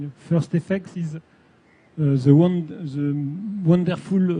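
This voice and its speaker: A man with a French accent speaks at a very slow pace in a dark, mellow tone that is somewhat breathy. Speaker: science fiction writer. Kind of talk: panel discussion. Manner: halting.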